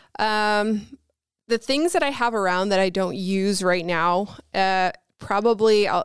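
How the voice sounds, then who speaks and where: Recorded very cleanly against a silent background, a woman with a Newfoundland accent speaks with fairly even intonation in a dry, close sound with no echo. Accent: Newfoundland Canadian. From Newfoundland, Canada (St. John's). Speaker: YouTuber. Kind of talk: casual chat.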